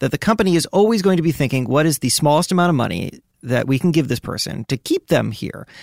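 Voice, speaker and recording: On a very clean recording with a silent background and a dry, close sound with no echo, a man with a fairly high voice and vocal fry speaks very fast with lively intonation and hardly any pauses. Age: 30s. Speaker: podcast co-host, magazine editor. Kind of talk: casual chat.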